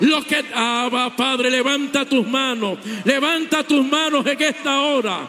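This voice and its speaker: Over noticeable background noise and audible room echo, a man speaks in a raised, projected voice at a very slow pace. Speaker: visiting preacher. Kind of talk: sermon. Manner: animated.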